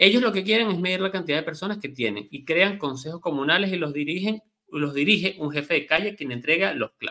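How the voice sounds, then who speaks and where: Against a quiet background, a man with a high pitch and a bright, sharp tone talks at a fairly quick pace with lively intonation and hardly any pauses. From Venezuela. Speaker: news commentary co-host. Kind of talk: news commentary. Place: home room. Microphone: webcam.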